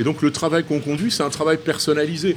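Noticeable background noise sits behind a man whose fairly high voice carries an animated tone. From rural France. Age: 60s. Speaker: chef and restaurant owner. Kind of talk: interview conversation.

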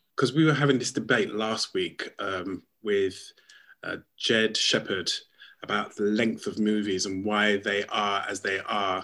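In a very clean recording with a silent background, a man talks at a fairly slow pace in a fairly low pitch, his tone bright and sharp and his pitch varying in an ordinary way. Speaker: radio show producer. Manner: jokey, casual.

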